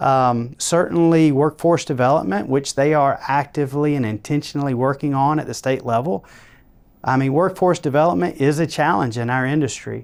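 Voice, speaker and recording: A man with a Georgia accent speaks at a fairly quick pace, his pitch fairly high and its variation ordinary. The recording is very clean, with a silent background. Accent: Georgia Southern. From Georgia, US South. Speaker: construction company co-founder. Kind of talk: interview.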